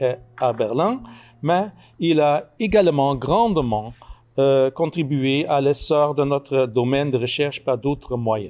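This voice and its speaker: Speaking very slowly, a man keeps a very even loudness at a fairly high pitch with ordinary pitch variation. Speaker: book author, labour historian. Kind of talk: formal speech at book launch. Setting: event with audience. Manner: halting, many hesitations and repeated words.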